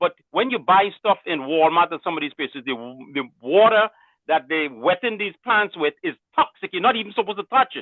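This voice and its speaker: Loud and quick, a man talks with a high pitch at a fairly quick pace. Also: lively intonation. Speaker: caller. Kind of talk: casual call-in comment.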